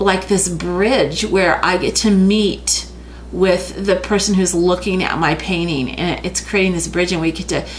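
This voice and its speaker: A woman mumbles at a medium pitch and a fairly slow pace, with fairly even intonation, audible room echo and noticeable background noise. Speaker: art teacher. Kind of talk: tutorial. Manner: mumbling.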